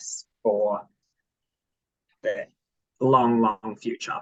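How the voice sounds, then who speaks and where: The recording of this man's voice is dry and close, with no echo. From South Africa. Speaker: netball coach. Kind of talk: casual self-introduction on video call.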